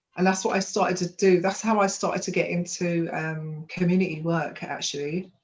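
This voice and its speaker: Speaking with a London accent, a woman sounds somewhat breathy, with a fairly low pitch and a moderate pace. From London (Hackney). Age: 40s. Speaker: women's empowerment coach. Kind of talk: life story testimony.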